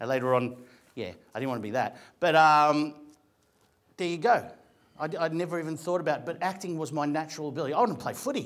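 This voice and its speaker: Quick-paced and lively in intonation, a man with an Australian accent speaks at a fairly high pitch. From Australia, Greek family. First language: Greek. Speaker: actor and comedian. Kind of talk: motivational talk to an audience. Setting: room with audience. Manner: conversational, animated.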